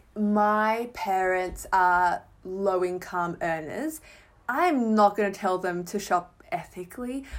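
In a very clean recording with a silent background, a woman with an Australian accent speaks very slowly with lively intonation. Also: medium pitch for a woman. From Melbourne, Australia. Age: 20s. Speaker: writer and fashion Instagrammer. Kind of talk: casual chat.

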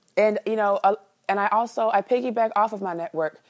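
A woman with an American accent and a normal speaking voice, fairly quick in pace with ordinary pitch variation, on a very clean recording with a silent background. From Chicago. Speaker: sex educator. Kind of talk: casual interview. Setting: call.

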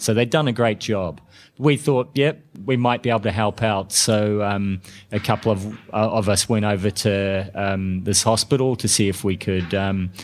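With a New Zealand accent, a man with a fairly low pitch speaks at a moderate pace with ordinary pitch variation, on a very clean recording with a silent background. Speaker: intensive care doctor. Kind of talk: podcast interview. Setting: conference. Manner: halting.

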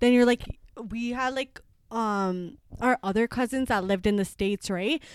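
With a Toronto accent, a woman at a fairly high pitch speaks at a moderate pace with ordinary pitch variation, recorded very cleanly over a silent background with a dry, close sound and no echo. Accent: Canadian English, Toronto. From Scarborough, Toronto, Canada. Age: 20s. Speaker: podcast co-host. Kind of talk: casual chat.

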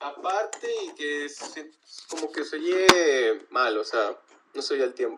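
A man speaks at a very slow pace with big swings in loudness. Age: 20s. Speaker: drummer. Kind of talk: casual chat.

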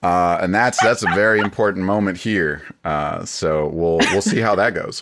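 Speaking with a plain, everyday voice, a man keeps a fairly low pitch, ordinary pitch variation and a moderate pace, with hardly any pauses. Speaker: game master. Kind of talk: casual chat.

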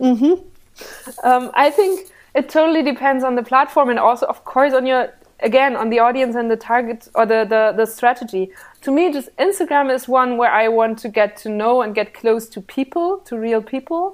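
Very cleanly recorded against a silent background, a woman with a German accent speaks high for a woman at a moderate pace, her pitch varying normally. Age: 20s. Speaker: journalist and political show host. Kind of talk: interview.

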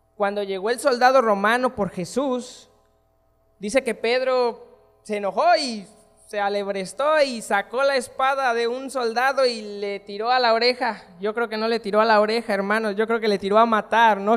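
A man talks with fairly even intonation in an extremely high pitch. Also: moderate pace. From Mexico, Michoacán. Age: 20s. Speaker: guest preacher. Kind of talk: sermon.

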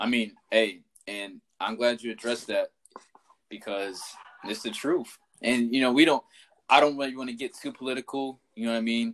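Medium-pitched man at a moderate pace, fairly even intonation, big swings in loudness, long, frequent pauses, and a dry, close sound with no echo. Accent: American. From US South. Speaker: podcast host. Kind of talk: casual chat.

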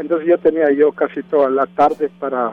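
This man's voice is fairly high in pitch, at a moderate pace. His intonation is monotone and flat. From Mexico, Oaxaca. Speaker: music teacher and band director. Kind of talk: interview. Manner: halting.

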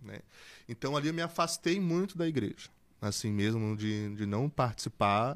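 A man with an unremarkable speaking voice talks at a fairly slow pace with lively intonation. The sound is dry and close with no echo, on a very clean recording against a silent background. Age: 20s. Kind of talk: casual interview testimony.

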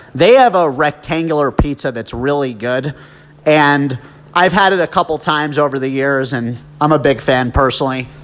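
This man has an ordinary speaking voice with a fairly high pitch. His pitch variation is ordinary. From New Jersey. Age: 30s. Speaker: podcast host. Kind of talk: casual monologue.

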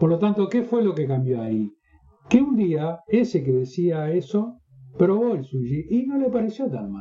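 Very wide pitch swings at a fairly slow pace, with music in the background. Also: man, high pitch for a man. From northern Uruguay. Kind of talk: interview.

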